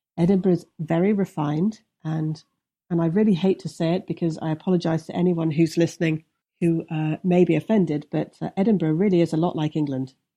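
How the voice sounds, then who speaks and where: A woman talks with an English Midlands accent at a fairly quick pace. Her tone is dark and mellow, her pitch fairly low, and her intonation fairly even. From English Midlands, Leicestershire. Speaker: TV producer and investigative journalist. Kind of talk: interview conversation. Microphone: extreme echo on the line, removed in editing.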